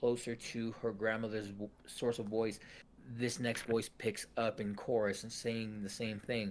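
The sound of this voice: The voice is an unforced reading voice. It is heard throughout the clip.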